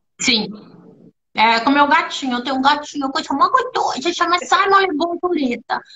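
Her intonation is lively and her pitch is high. The woman keeps a moderate pace. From Brazil, born in São Paulo, long in Rio. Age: 50s. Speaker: actress and voice actress; actress, voice actress. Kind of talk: casual live-stream interview. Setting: video call. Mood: warm, animated storytelling. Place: home room.

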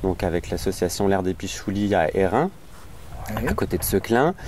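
Over light background noise, a man talks at a fairly slow pace, the sound dry with no echo. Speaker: interviewee. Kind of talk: interview answer. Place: garden.

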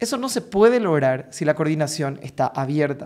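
A man with a Paraguayan accent, fairly high-pitched and animated in tone, at a moderate pace against a quiet background. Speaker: vocal coach. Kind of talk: tutorial. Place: home room. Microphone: studio mic.

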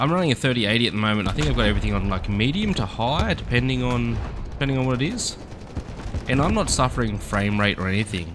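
At a very fast pace, the voice makes very wide pitch swings while noticeable background noise carries on. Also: man. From Australia. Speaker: gaming YouTuber. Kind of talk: gameplay commentary. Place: home room. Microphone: headset.

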